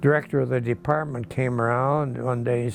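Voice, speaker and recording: Backed by music in the background, a man with a Midwestern American accent speaks at a moderate pace and medium pitch with ordinary pitch variation. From Michigan, near Ypsilanti. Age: 80s+. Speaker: retired teacher and farmer. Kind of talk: interview answer.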